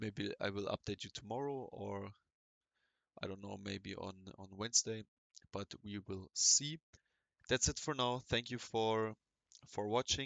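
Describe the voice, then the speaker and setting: A man with a non-native accent and a fairly low pitch speaks at a fairly slow pace. His delivery has long, frequent pauses and big swings in loudness. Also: ordinary pitch variation. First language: not English. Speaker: forex trader and market commentator. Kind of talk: market analysis commentary. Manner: halting, many fillers and restarts.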